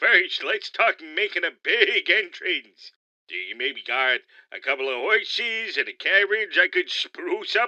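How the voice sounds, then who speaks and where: A put-on character voice at a fairly high pitch, delivered at a fairly slow pace over a quiet background. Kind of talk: comic overacting. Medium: audio drama. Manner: slangy, wisecracking.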